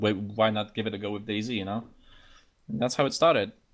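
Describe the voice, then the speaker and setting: A man's fairly low voice with ordinary pitch variation, on a very clean recording with a silent background. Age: 20s. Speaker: gamer and streamer. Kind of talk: casual interview.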